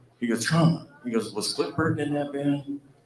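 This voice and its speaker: A man with an unremarkable speaking voice and fairly high pitch talks at a moderate pace. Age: 60s. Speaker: former band guitarist. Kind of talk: anecdote-telling at fan celebration.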